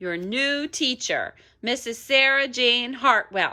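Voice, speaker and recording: A woman puts on a character voice pitched high. She speaks at a fairly slow pace. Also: very clean recording, silent background. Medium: read story. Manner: gushing, brisk.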